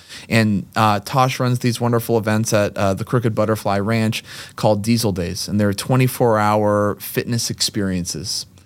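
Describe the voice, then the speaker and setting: A man with an American accent speaks at a moderate pace with fairly low pitch and fairly even intonation. He has a plain, everyday voice. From Massachusetts, Lexington (Boston area). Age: 30s. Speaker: gym owner and former kindergarten teacher. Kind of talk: casual chat.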